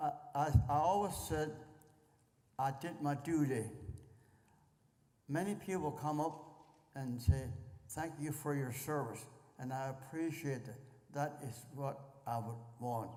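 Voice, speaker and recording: With an American accent, a man talks at a fairly slow pace in a dark, mellow, somewhat breathy voice of fairly high pitch, with ordinary pitch variation, long, frequent pauses and audible room echo. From Pennsylvania. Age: 90s. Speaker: war veteran. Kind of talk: interview. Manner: halting.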